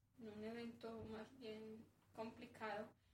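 Audible room echo and noticeable background noise surround a female speaker whose pitch is fairly high. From Colombia, northern Antioquia. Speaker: herbalist and community worker. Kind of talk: interview conversation.

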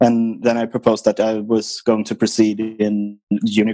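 Music plays in the background as a man with a Swedish accent and medium pitch speaks in a monotone, flat intonation, the sound dry and close with no echo. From Sweden, island near Stockholm. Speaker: racing driver. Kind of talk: interview.

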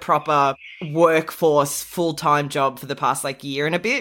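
Moderately paced speech from a woman with an Australian accent. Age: 30s. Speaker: podcast co-host. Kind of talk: casual chat.

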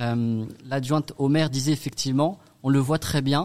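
Ordinary pitch variation marks a plain, everyday voice. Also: man. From Strasbourg, Alsace, France. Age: 30s. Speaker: association founder. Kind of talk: radio interview.

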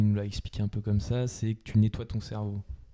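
A man's fairly low, dark and mellow voice with monotone, flat intonation. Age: 20s. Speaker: business school student and amateur sailor. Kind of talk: interview. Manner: halting, many fillers.

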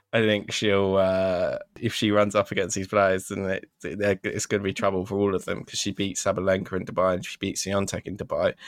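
A man with a British accent at a fairly quick pace, fairly low-pitched and monotone with flat intonation, hardly any pauses, a dry, close sound with no echo, and a very clean recording over a silent background. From Britain. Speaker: tennis podcast host. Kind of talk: casual chat.

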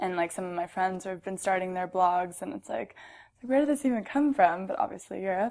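A woman talks at a fairly quick pace with an American accent. Her pitch sits in the medium range. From US West Coast, Orange County California. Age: 20s. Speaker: magazine company employee and blogger. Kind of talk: casual interview chat.

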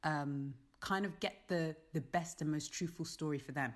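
In a London accent, a woman speaks at a fairly slow pace with a very deep, low pitch and fairly even intonation. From London, England. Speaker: theatre director. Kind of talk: casual interview.

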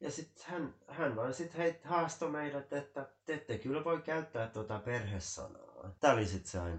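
A man with a fairly high voice and vocal fry talks at a moderate pace, his intonation lively and his speech with hardly any pauses. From Finland, Helsinki. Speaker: Finnish emigrant interviewee. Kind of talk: casual chat.

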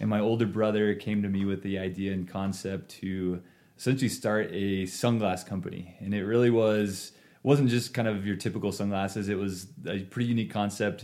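Speaking with an American accent, a man with a fairly low pitch and a dark, mellow tone moves at a fairly quick pace with fairly even intonation. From eastern Oregon, US. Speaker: entrepreneur, eyewear company CEO. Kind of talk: casual interview. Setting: studio, sharing one mic with host.

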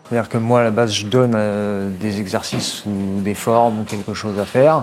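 A man's fairly low pitch and fairly even intonation at a moderate pace, with noticeable background noise. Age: 30s. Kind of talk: workplace explanation interview.

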